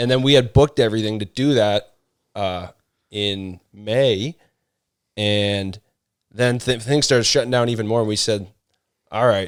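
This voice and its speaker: At a moderate pace, a man with a Canadian accent talks at a medium pitch, his intonation fairly even and broken by long, frequent pauses. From Canada (Ontario). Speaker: former police officer and firefighter, runner. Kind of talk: podcast interview.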